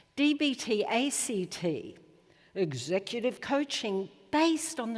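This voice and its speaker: In an Australian accent, a woman talks with very wide swings in pitch. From Australia, Melbourne. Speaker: psychologist. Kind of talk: conference talk.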